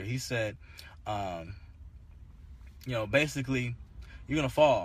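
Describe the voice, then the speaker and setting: The pace is moderate. Pitch varies in an ordinary way, and the voice is somewhat breathy. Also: man. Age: 30s. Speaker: pastor and podcast host. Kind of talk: casual devotional talk. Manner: halting, many fillers and repeats.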